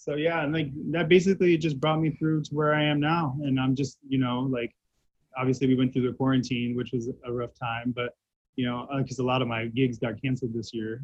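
Somewhat breathy and fairly quick, a man speaks at a medium pitch with fairly even intonation and an American accent. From Central Florida (Titusville). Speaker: hair stylist. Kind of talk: interview. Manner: casual, frequent fillers.

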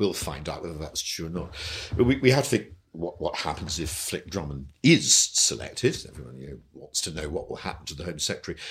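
Recorded very cleanly against a silent background, a man with a very deep, low pitch and vocal fry talks at a fairly quick pace with very wide pitch swings and big swings in loudness. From England. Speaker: newspaper editor and former MP. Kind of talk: casual chat.

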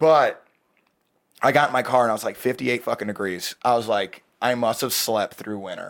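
At a moderate pace, a man with a medium-pitched, unremarkable speaking voice shows ordinary pitch variation. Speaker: podcast guest. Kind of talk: casual banter.

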